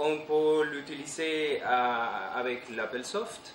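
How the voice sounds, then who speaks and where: A man's fairly high voice with a non-native accent, audible room echo and noticeable background noise. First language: not French (speaking French). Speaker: conference speaker on retro computing. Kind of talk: technical conference talk. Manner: halting, many hesitations.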